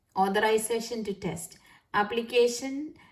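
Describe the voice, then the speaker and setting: A woman with a Keralan accent, fairly even in intonation, at a moderate pace. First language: Malayalam. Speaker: nurse and YouTuber. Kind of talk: tutorial. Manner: halting, many fillers.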